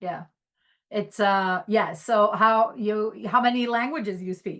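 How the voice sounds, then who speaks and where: Speaking very slowly with an Albanian accent, a woman uses a fairly high pitch and ordinary pitch variation. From Greece. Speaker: podcast host, HR technology professional. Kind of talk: casual interview chat.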